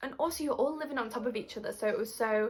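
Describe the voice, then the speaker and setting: Animated and fairly quick, a woman with a British accent talks with ordinary pitch variation. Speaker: YouTuber. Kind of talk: casual vlog chat.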